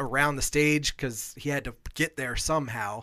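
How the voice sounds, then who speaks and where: A man with an American accent speaks at a moderate pace and fairly high pitch. His tone is bright and sharp, on a very clean recording with a silent background. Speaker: podcast co-host. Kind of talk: casual sports talk.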